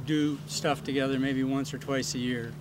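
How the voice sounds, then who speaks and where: Amid audible room echo, a man with a medium pitch speaks at a very slow pace. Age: 60s. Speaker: mountain bike club trail director. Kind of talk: casual interview.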